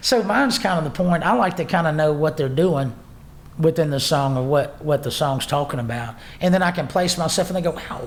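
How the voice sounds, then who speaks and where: Lively intonation and a fairly quick pace mark this voice in a Southern US accent. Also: man, fairly high pitch for a man. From North Louisiana. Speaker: singer-songwriter. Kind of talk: interview answer.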